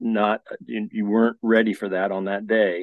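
A man talks at a moderate pace with an American accent. He has a normal speaking voice. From Colorado. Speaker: ultra runner. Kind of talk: casual chat.

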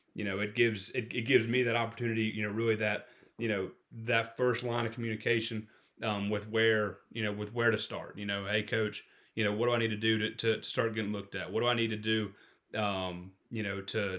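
Talking at a fairly quick pace, a man speaks in a fairly low voice with a Southern US accent. His intonation is monotone and flat. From Florida panhandle. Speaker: football coach. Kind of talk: casual chat. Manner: halting.

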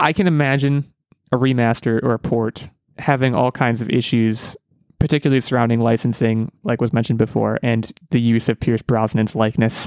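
In a normal speaking voice, a man of medium pitch talks at a fairly quick pace with fairly even intonation and very even loudness, recorded dry and close with no echo. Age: 20s. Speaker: podcast host. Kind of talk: casual chat.

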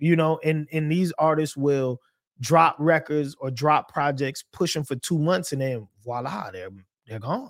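At a fairly slow pace, a man with a fairly high pitch and ordinary pitch variation speaks in a dry, close sound with no echo. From US South, Charleston, South Carolina. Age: 40s. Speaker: hip-hop DJ. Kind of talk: casual interview chat.

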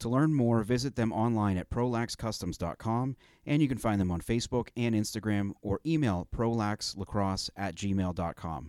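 A man with a normal speaking voice talks at a moderate pace and a fairly low pitch with ordinary pitch variation, hardly any pauses, and a dry, close sound with no echo. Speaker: sports podcast host. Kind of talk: casual chat.

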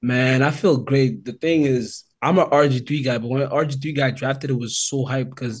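This man talks at a moderate pace with a medium pitch, a somewhat breathy quality and flat, monotone intonation. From Calgary, Alberta, Canada. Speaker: former football player. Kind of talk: casual chat.

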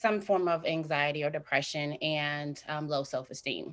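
A woman talks at a fairly slow pace with a Midwestern US accent and a very deep, low pitch. The recording is very clean against a silent background. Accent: US Midwest. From Indiana, Fort Wayne. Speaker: mental health counseling student and author. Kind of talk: interview. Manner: halting.

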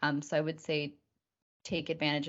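A woman speaks at a fairly quick pace in a very deep, low voice. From Canada, Victoria BC, with time in Argentina. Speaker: community marketing specialist. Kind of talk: podcast interview.

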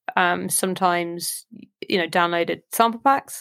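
A woman with a southern English accent at a fairly slow pace, with ordinary pitch variation, on a very clean recording with a silent background. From southern England, Southampton. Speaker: electronic musician and producer. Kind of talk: casual interview chat.

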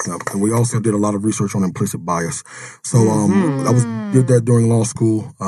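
A man's fairly quick delivery, with ordinary pitch variation, comes through noticeable background noise. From Jackson, Mississippi. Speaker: podcast guest. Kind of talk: professional, lawyer.

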